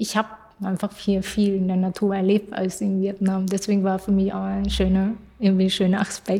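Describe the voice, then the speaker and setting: A woman's voice has a dark, mellow tone and is somewhat breathy. Her intonation is monotone and flat. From Vietnamese family, grew up between two cultures. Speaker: student teacher in art education. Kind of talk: interview. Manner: halting, many fillers and repetitions.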